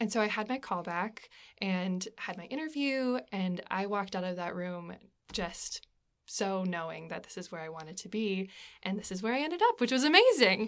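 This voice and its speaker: In an American accent, a woman speaks with an ordinary speaking voice at a medium pitch and moderate pace, with lively intonation. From Alaska, US. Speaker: stage actor. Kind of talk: interview.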